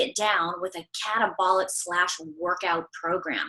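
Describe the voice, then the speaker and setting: Her tone is animated. The woman speaks at a fairly slow pace. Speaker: holistic corrective exercise coach. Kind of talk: interview.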